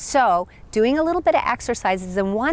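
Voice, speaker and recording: Using a normal speaking voice with an American accent, a woman talks at a moderate pace with lively intonation. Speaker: spiritual teacher, chakra coach. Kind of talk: self-help talk to camera. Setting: outdoors in a park.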